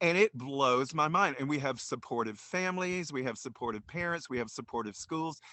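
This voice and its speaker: A fairly high-pitched man talks at a fairly quick pace with lively intonation and hardly any pauses. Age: 60s. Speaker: drag queen storyteller and reverend. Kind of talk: casual interview chat. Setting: video call. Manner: halting, many fillers.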